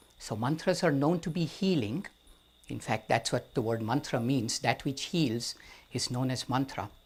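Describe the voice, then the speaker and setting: A somewhat breathy man with an Indian accent and medium pitch, in a very clean recording with a silent background. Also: lively intonation, moderate pace. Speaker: storyteller. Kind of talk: storytelling.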